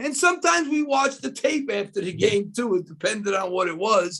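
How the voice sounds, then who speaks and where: Here is a man with a New York accent. He talks at a fairly quick pace with lively intonation. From New York City (Queens, Washington Heights). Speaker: basketball analyst, former college coach. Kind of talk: casual interview. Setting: video call.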